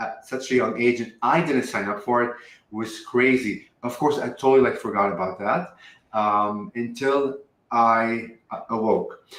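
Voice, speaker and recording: A man with a Lebanese accent, medium pitch and a fairly slow pace. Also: ordinary pitch variation. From Lebanon. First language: Arabic. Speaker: spiritual channeler. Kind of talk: interview. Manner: many ums and likes as fillers.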